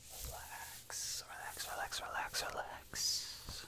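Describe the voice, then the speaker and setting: A man whispers, soft-spoken and soothing, at a very slow pace. Light background noise sits behind him. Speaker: ASMR creator. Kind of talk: soft repetitive sleep prompts. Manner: soft ASMR whisper, repeated soothing word. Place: home room. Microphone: studio mic.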